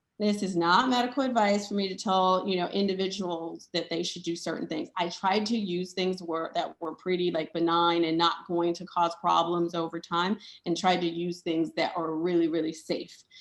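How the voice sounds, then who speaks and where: A woman with a plain, everyday voice speaks at a moderate pace in a fairly low pitch with fairly even intonation. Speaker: doctor and conference speaker. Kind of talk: conference presentation. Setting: conference session with slides.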